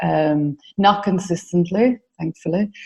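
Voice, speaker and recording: A woman's very slow speech in an Irish accent. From Ireland. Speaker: mentoring business founder. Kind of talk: interview. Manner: hesitant, many fillers.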